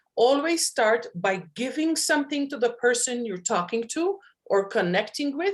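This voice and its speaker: With a Maltese accent, a woman speaks at a high pitch with very wide pitch swings. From Malta. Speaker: hypnotherapist and networking expert. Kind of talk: panel talk on networking.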